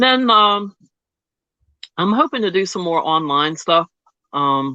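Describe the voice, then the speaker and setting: Very wide pitch swings around a medium pitch from a woman at a very slow pace. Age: 60s. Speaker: Reiki practitioner. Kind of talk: casual chat.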